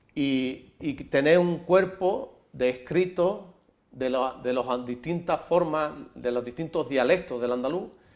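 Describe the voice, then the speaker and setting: In a very clean recording with a silent background, a man speaks at a very slow pace in a fairly high pitch with ordinary pitch variation. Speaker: advocate of written Andalusian. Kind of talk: TV interview answer.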